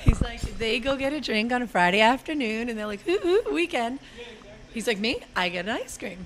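A woman's fairly high voice with an American accent and lively intonation at a moderate pace, with noticeable background noise. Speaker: ice cream shop owner. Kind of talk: interview. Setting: on location at an ice cream shop.

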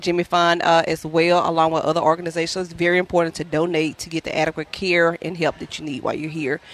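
A woman with a Louisiana accent speaks at a fairly low pitch. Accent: Southern US (Louisiana). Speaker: traveling healthcare worker and cancer patient. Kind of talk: radio telethon interview, personal story. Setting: live radio broadcast at a ballpark. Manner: fast.

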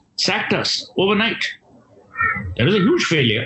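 Noticeable background noise fills the recording. Through it comes a man's voice. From India, Kolkata. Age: 50s. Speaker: author and marketing speaker. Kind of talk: interview conversation.

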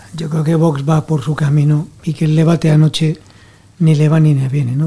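Noticeable background noise sits under speech that moves at a fairly quick pace in a monotone, flat way. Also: man. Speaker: newspaper deputy editor. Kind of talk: panel discussion.

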